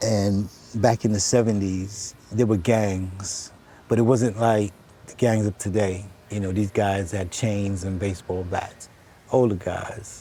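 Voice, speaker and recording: This man speaks fairly slowly with an American accent, his fairly low voice dark and mellow. His intonation is monotone and flat. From US Northeast, New York City (Bronx, Harlem). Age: 60s. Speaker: stranger on a park bench. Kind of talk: casual conversation.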